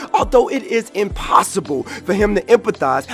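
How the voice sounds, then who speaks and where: Music plays in the background as a man talks at a fairly quick pace. His pitch is high for a man. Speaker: spoken word poet. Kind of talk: slam poetry performance.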